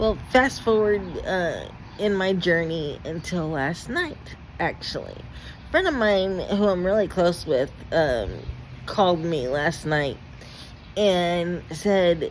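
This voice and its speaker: A woman speaks very slowly with long, frequent pauses. Her fairly low voice has lively intonation. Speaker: vlogger. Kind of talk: personal vlog testimony. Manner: halting, stuttering.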